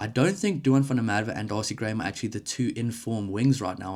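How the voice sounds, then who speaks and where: Very fast speech comes from a man with a South African accent and fairly even intonation. The recording is very clean, with a silent background. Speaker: rugby YouTuber. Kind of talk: solo commentary video. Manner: casual, conversational.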